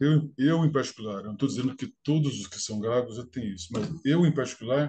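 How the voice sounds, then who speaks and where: A man at medium pitch speaks at a fairly quick pace with ordinary pitch variation. His voice is somewhat breathy. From Brazil, interior of São Paulo state (Franca). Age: 50s. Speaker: engineer and stuttering advocate. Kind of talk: interview. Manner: repetitions and hesitations.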